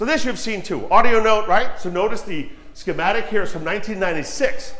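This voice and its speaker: Loud and animated, a man speaks in a high pitch. Audible room echo and noticeable background noise surround him. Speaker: audio engineer giving a talk. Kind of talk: technical presentation to an audience. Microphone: too quiet at first, moves closer to mic.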